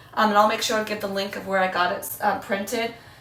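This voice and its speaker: A woman talks with noticeable noise in the background and audible echo in the room. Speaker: homeschooling mom vlogger. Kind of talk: casual vlog talk to camera. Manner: casual, filler-heavy with um and like.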